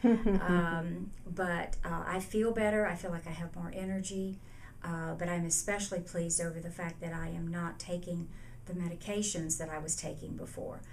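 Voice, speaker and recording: Her fairly low voice moves at a moderate pace with monotone, flat intonation. The woman's recording has audible room echo and noticeable background noise. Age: 70s. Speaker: patient giving testimonial. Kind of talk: testimony. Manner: hesitant, many fillers.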